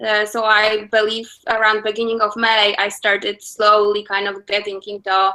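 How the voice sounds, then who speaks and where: With a Polish accent, the speaker talks at a moderate pace in a bright, sharp tone, using monotone, flat intonation and hardly any pauses. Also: woman, fairly high pitch for a woman. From Poland. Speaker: attorney. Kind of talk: interview.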